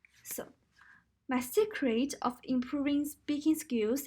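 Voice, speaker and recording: With a Chinese accent, this voice moves at a fairly slow pace and shows ordinary pitch variation. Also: woman. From China. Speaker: university student. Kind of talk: recorded class presentation.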